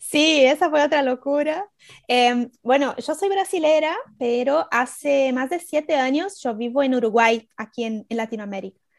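In a Brazilian accent, a woman speaks at a high pitch and a fairly slow pace, with lively intonation. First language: Portuguese (speaking Spanish). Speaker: writer. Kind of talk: casual interview chat. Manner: halting, many fillers.

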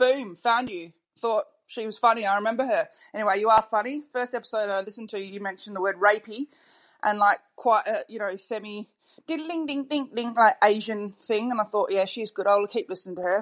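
A woman with an Australian accent, fairly high pitch and a fairly quick pace. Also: ordinary pitch variation, quiet background. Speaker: caller. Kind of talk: voice message.

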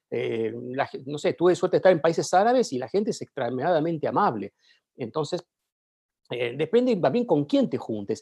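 A man speaks at a moderate pace in a high voice with a dark, mellow tone and very wide pitch swings, against a quiet background. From Argentina. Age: 40s. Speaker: journalist. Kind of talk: casual interview.

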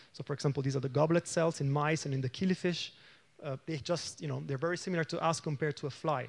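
Against a quiet background, a man with an Italian accent talks very fast at a fairly high pitch, somewhat breathy, with fairly even intonation. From Italy. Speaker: aging researcher. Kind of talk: lecture.

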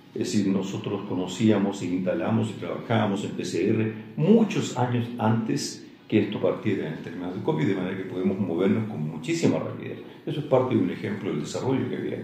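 Lively intonation colors a man's fairly low-pitched voice. Audible room echo and noticeable background noise surround him. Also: fairly quick pace. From Chile, Santiago. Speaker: veterinarian and lab company director. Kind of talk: interview. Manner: hesitant, filler-heavy.

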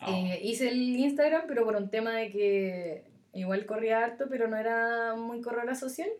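A woman with a Chilean accent speaks at a moderate pace with a fairly high pitch. Her pitch variation is ordinary, and room echo is audible. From Chile, Curicó. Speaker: amateur runner. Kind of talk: casual chat.

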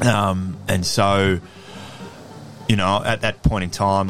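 A man's very deep, low voice in an Australian accent, monotone and flat at a moderate pace, with music in the background. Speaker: former professional Australian rules football player. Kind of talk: casual interview chat.

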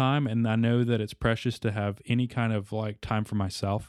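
A man with a medium-pitched voice speaks at a fairly quick pace, the sound dry and close with no echo. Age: 20s. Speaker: gamer dad. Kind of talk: casual chat. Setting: studio.

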